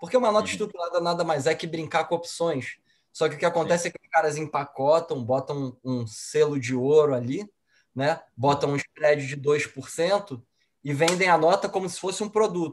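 A man with an unremarkable speaking voice and a fairly high pitch talks at a moderate pace, with ordinary pitch variation and big swings in loudness. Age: 30s. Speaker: financial advisor. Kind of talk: casual chat.

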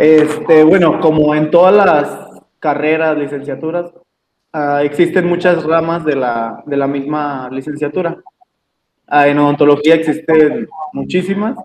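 A man with a plain, everyday voice, fairly high in pitch, speaking at a fairly slow pace with fairly even intonation. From Mexico, Jalisco. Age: 20s. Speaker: dental intern. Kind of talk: interview. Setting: video call.

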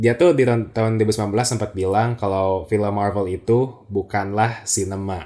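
With a dark, mellow tone, a man's fairly low voice moves at a fairly slow pace with fairly even intonation and hardly any pauses. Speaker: podcast host. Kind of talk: casual chat.

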